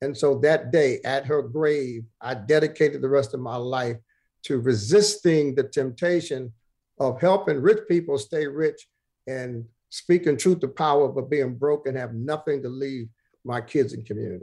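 A man with an American accent speaks at a moderate pace. His pitch is fairly high, and his tone is dark and mellow. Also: ordinary pitch variation. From Brooklyn, New York. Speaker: pastor. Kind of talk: interview.

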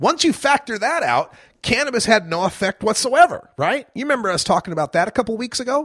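In a dry, close sound with no echo, a man talks at a fairly quick pace with a bright, sharp tone. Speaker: radio host. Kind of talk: live talk radio show.

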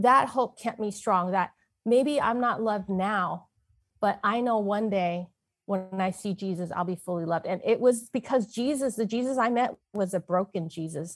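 A woman with an American accent speaks in an ordinary speaking voice at medium pitch, with ordinary pitch variation and a moderate pace, against a quiet background. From US West Coast, San Francisco. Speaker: author and inspirational speaker. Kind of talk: personal testimony.

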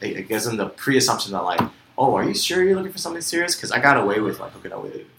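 Over noticeable background noise, a man rushes along at a very fast pace with hardly any pauses and big swings in loudness. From US, Vietnamese American family. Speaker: podcast co-host. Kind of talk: casual chat.

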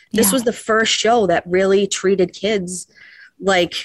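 In a normal speaking voice, a woman talks at a moderate pace with medium pitch and fairly even intonation, the sound dry and close with no echo. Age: 40s. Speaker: fan caller. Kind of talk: casual chat.

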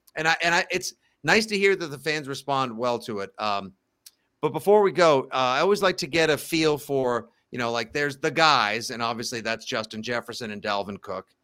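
In a very clean recording with a silent background, a man talks at a fairly quick pace in a fairly high pitch, his tone bright and sharp and his intonation lively. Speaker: sports podcast host. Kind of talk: casual chat. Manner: animated.

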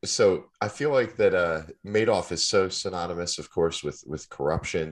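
With vocal fry and a very deep, low pitch, a man speaks at a moderate pace against a quiet background. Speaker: podcast host and financial advisor. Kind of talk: interview.

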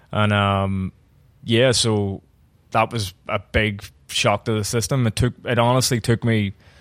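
Fairly low-pitched male voice in a Belfast accent, dry and close with no echo, in a very clean recording with a silent background. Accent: Belfast Northern Irish. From Northern Ireland. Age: 30s. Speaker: bar owner and bartender. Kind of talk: casual interview.

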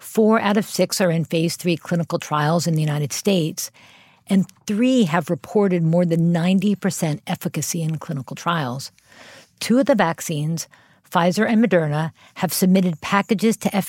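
With an American accent, a woman uses an ordinary speaking voice at fairly low pitch, moderate pace and ordinary pitch variation, the sound dry and close with no echo. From US Northeast, Philadelphia. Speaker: public health official. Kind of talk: interview.

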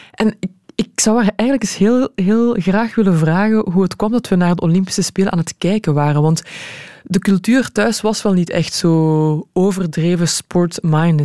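A woman with a dark, mellow tone and medium pitch speaks with ordinary pitch variation, the sound dry and close with no echo. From Belgium, Leuven (Flanders). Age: 30s. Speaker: sports presenter and footballer. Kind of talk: casual interview. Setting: radio studio.

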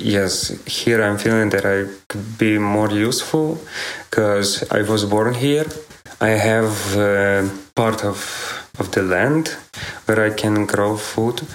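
With a Ukrainian accent, a man with a fairly low pitch speaks very slowly and with fairly even intonation, with audible room echo and noticeable background noise. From western Ukraine, Ternopil region. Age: 20s. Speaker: farmer. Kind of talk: interview testimony. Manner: halting, many fillers.

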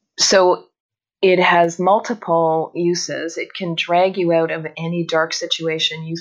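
A woman with a Canadian accent and a normal speaking voice talks at a fairly slow pace in a fairly low voice. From northern Canada. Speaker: phone communication consultant. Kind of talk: interview.

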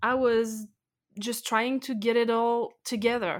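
The speaker has a French accent. The recording is very clean, with a silent background. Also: woman. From France. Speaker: expat blogger. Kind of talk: interview.

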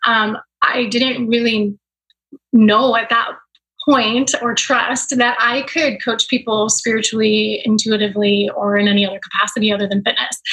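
With an unremarkable speaking voice, a woman talks at a moderate pace, her fairly high pitch held in fairly even intonation. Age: 40s. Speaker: mindset and business coach. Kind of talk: casual interview chat.

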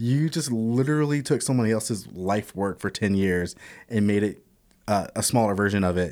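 In a very clean recording with a silent background, a man with a fairly low pitch speaks at a moderate pace, with ordinary pitch variation and very even loudness. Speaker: guest film and TV enthusiast. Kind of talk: casual chat. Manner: animated, talkative.

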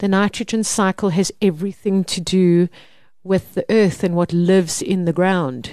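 A dark, mellow tone in a South African accent, with fairly even intonation, a moderate pace, and a quiet background. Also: woman, medium pitch for a woman. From South Africa, Mpumalanga. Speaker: organic gardening expert and seed seller. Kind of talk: casual interview. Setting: studio.

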